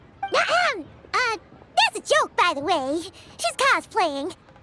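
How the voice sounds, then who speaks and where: A woman puts on a character voice at an extremely high pitch, talking fairly slowly with very even loudness. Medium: video game. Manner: bubbly, energetic.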